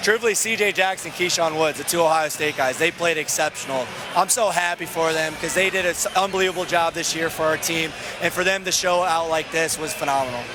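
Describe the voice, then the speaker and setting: A man with a high voice talks at a fairly quick clip, his intonation fairly even, over noticeable background noise. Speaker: basketball coach. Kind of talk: post-game interview. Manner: talkative.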